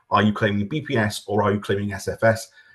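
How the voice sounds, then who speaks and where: Fairly quick pace from a man, with a quiet background. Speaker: government official presenting farming scheme. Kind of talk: webinar presentation. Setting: online webinar. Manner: fast.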